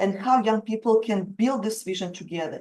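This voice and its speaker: A woman in a strong Russian accent, with a dark, mellow tone, fairly even intonation and a moderate pace. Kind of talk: webinar presentation. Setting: video call webinar.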